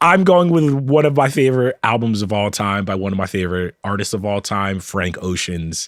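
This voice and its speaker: An unremarkable speaking voice moves at a moderate pace with lively intonation, recorded with a dry, close sound and no echo. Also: man. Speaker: podcast co-host. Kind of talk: casual chat.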